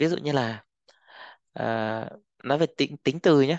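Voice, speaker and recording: A man at a very slow pace, with a dry sound with no echo and a quiet background. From Vietnam. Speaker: Chinese language teacher. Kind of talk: tutorial. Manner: instructional, repeats phrases. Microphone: headset.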